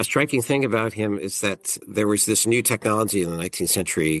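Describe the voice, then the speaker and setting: A man's voice with vocal fry and lively intonation, against a quiet background. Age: 50s. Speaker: professor. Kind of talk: interview. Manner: halting, frequent repetitions.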